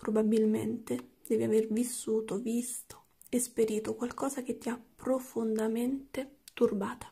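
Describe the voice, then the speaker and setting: Quiet, somewhat breathy speech from a woman, fairly high in pitch yet dark and mellow in tone, monotone and flat, at a fairly slow pace. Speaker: tarot card reader; tarot reader. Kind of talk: tarot reading. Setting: at home late at night. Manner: speaking quietly. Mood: calm, empathetic. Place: home room.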